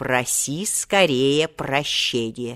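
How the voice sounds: In a put-on character voice, a woman speaks very slowly with lively intonation and a fairly bright tone at an extremely low pitch, on a very clean recording with a silent background.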